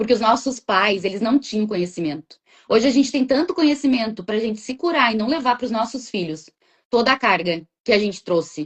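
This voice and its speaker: This woman's voice is somewhat breathy and fairly high in pitch. Her intonation is lively. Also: fairly quick pace. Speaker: therapist. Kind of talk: casual interview chat. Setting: live video stream. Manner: talkative, chatty.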